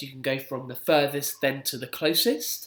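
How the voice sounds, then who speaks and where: A man talks in an unremarkable speaking voice. His pitch is fairly high and his pace moderate. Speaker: primary school PE teacher. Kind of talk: instructional video for pupils.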